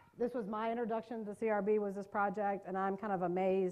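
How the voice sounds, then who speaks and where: With an American accent, a woman talks very fast at a medium pitch, her pitch moving in an ordinary way. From US South, North Carolina. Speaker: trauma trainer, mental health professional. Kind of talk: workshop presentation.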